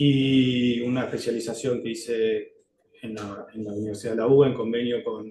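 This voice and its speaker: At a moderate pace, a man talks in a monotone, flat delivery at a medium pitch. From Argentina, Río Negro (General Roca). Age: 40s. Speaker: lawyer applying for judgeship. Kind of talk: job interview presentation. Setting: formal interview panel. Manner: hesitant, many filler sounds.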